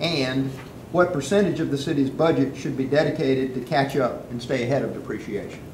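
A fairly high-pitched man at a fairly quick pace, with ordinary pitch variation, audible room echo and light background noise. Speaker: forum moderator. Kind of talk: moderated forum. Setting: stage with audience. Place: meeting room. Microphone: camera far.

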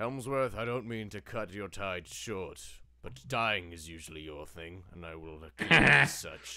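Someone performs a put-on character voice at a moderate pace. The recording is very clean, with a silent background. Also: man, very deep, low pitch for a man. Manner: grand, wry, slightly archaic.

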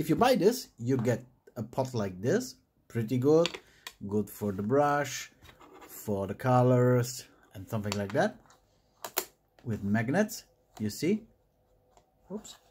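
Lively intonation from a man with a German accent at a medium pitch, very slow with long, frequent pauses, plus light background noise. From Germany. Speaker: miniature painting YouTuber. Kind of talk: tutorial. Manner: casual, hesitant with fillers. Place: home room.

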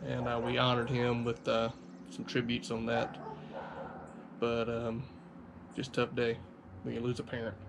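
Over noticeable background noise, the talking proceeds at a moderate speed. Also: man. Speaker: car vlogger. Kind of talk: personal vlog talk about a loss. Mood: somber, grieving. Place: home room. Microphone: camera far.

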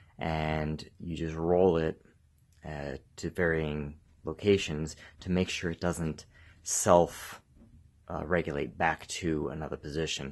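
In a flat monotone, a man talks at a very deep, low pitch over a quiet background. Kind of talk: tutorial. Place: garage. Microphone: phone near.

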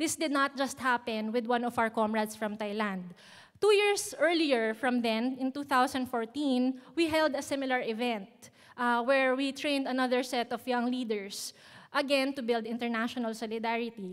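Over a quiet background, a woman with a Filipino accent speaks at a high pitch. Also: ordinary pitch variation, moderate pace. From Philippines. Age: young. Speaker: youth activist; speaker. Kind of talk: prepared speech. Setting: stage with audience. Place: hall. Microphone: podium.

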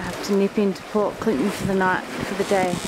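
The voice keeps a moderate pace over loud background noise, with a dry sound and no echo. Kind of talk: casual vlog chat. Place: boat. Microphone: phone near.

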